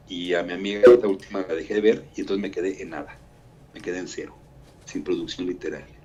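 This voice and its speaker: Talking at a very fast pace, a man lets his loudness swing in big jumps. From Mexico. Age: 60s. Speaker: writer and architect. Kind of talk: interview.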